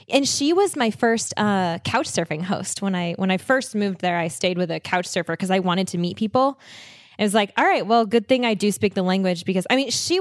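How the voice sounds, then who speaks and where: A woman speaks at a fairly quick pace in an ordinary speaking voice. Her medium pitch shows ordinary variation. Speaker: podcast host and traveler. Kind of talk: casual chat. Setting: video call.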